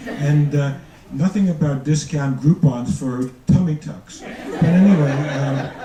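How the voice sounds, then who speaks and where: Noticeable background noise plus audible echo from the room. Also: man. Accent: New York. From New York, the Bronx. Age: 70s. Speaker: retired doctor, amateur comedian. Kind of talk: stand-up. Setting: stage with audience. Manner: halting.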